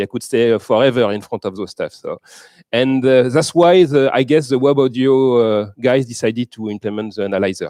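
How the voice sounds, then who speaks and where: A man with a French accent and a dark, mellow tone, lively intonation at a moderate pace, the sound dry and close with no echo on a very clean recording with a silent background. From France. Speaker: software developer, conference keynote speaker. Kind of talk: conference keynote with live demo. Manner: halting, with many fillers.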